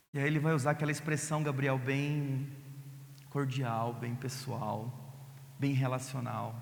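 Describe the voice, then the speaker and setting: Somewhat breathy and monotone, the flat voice moves at a fairly slow pace. Room echo is audible. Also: man. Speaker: pastor. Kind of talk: sermon.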